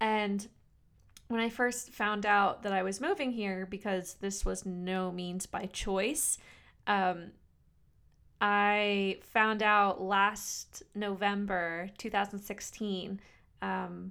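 On a very clean recording with a silent background, a woman speaks at medium pitch and a very slow pace. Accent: American. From US East Coast, New Jersey. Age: 20s. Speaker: podcast host. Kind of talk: solo podcast monologue. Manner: casual, filler-heavy.

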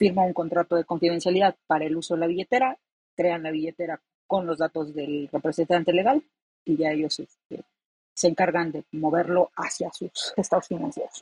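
A woman with a fairly low, dark, mellow voice speaks at a fairly quick pace with ordinary pitch variation, in a dry, close sound with no echo. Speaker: blockchain developer. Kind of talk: casual chat.

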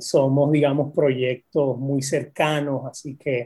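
Somewhat breathy and dark, mellow in tone, a man talks at a fairly slow pace and a fairly high pitch with monotone, flat intonation. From Puerto Rico. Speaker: poet and university professor. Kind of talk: casual interview.

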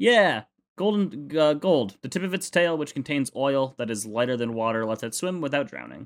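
Lively intonation marks this man's unremarkable speaking voice, pitched fairly high and delivered at a moderate pace on a very clean recording with a silent background. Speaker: podcast co-host. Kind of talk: casual chat.

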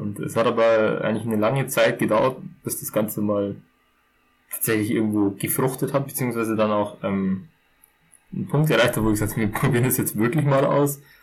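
A man's medium-pitched, normal speaking voice, fairly quick, with ordinary pitch variation. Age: 20s. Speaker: podcast co-host. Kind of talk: casual chat.

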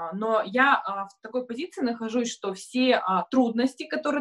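A plain, everyday voice from a woman, fairly high in pitch, at a moderate pace with ordinary pitch variation. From Kurgan region, Russia. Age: 30s. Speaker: marketing agency owner and blogger. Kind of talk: live online discussion. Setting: video call.

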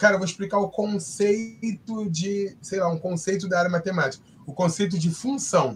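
This man has a high pitch, ordinary pitch variation, and a moderate pace. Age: 30s. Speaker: sign language interpreter. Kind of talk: casual chat.

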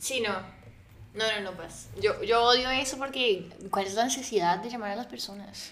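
Over audible room echo, a woman speaks at a moderate pace in a fairly high pitch with ordinary pitch variation and big swings in loudness. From Colombia, Neiva (Huila). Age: 20s. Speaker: podcast guest. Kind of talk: casual chat.

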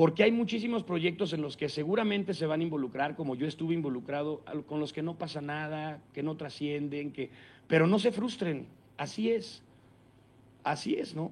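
With a Mexican accent, a man speaks at a moderate pace in a fairly high pitch with ordinary pitch variation. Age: 40s. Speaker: radio announcer and impressionist. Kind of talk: talk to students. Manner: conversational with many fillers.

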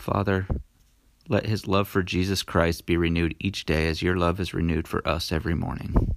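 His voice is very deep and low, with fairly even intonation. The man speaks at a fairly quick pace. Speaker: prayer leader reading a devotional prayer. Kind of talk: fervent prayer, spoken in the first person as a wife praying for her husband. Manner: earnest, pleading and devout, with commanding declarations when binding evil.

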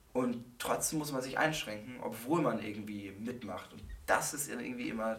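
Recorded with audible room echo and noticeable background noise, a man speaks with big swings in loudness. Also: medium pitch for a man, ordinary pitch variation, moderate pace. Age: 20s. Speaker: psychology student. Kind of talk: casual chat.

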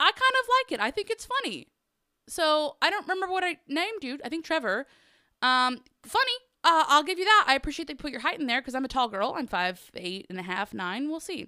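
A woman with a high, bright and sharp voice speaks at a fairly quick pace in an animated, raised and projected way, her pitch swinging very widely, with a dry, close sound and no echo. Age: 20s. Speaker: podcast host. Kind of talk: casual solo chat. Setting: home garage studio. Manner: animated, laughing often.

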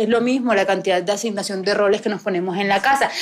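A woman's fairly high voice races along very fast and fairly evenly, with noticeable noise behind it. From Colombian Caribbean coast, Barranquilla. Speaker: podcast host. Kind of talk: live recorded conversation before an audience. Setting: bookstore with live audience.

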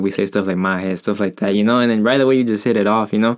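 Words come out very fast. The intonation is fairly even. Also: man. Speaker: podcast host. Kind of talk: casual chat, interview. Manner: casual, slangy.

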